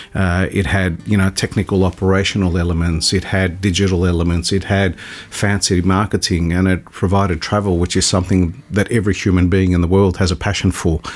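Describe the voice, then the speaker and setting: A man with an Australian accent and a very deep, low pitch speaks in a flat monotone at very even loudness. He talks at a fairly quick pace with hardly any pauses, over noticeable background noise. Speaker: airline CEO. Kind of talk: radio interview. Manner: halting, many fillers.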